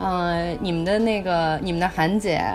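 A woman's fairly low voice over music in the background. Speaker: podcast co-host. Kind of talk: casual chat. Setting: remote recording from Myanmar. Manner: loud with loud laughter.

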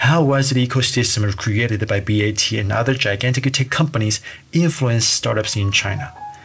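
A moderate pace and ordinary pitch variation amid noticeable background noise. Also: man. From Taiwan. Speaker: podcast host, startup entrepreneur. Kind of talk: podcast monologue.

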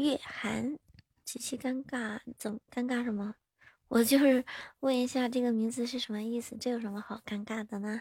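This woman's high voice has a monotone, flat intonation at a moderate pace, with a dry, close sound and no echo. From northern China (Hebei). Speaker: livestreamer. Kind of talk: casual chat. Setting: livestream link-up.

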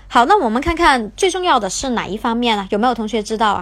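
A woman with a plain, everyday voice talks at a fairly quick pace, her pitch fairly high. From Guangzhou, China. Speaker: English teacher. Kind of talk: livestream lesson. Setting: livestream.

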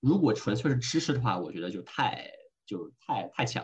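A man's medium-pitched voice swings very widely in pitch as he speaks fairly slowly. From Hong Kong. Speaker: venture investor. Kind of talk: casual interview. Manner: code-switching with English phrases.

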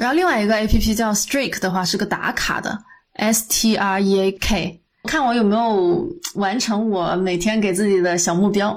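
A woman at medium pitch with ordinary pitch variation, a plain, everyday voice. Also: moderate pace. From Guangdong, China. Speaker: podcast co-host. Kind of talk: casual chat.

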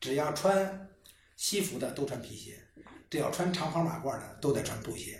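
Pitched high, a man's voice swings widely in loudness over noticeable background noise and audible room echo. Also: ordinary pitch variation, moderate pace. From Beijing. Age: 50s. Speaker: shoemaker and business founder. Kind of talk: casual chat.

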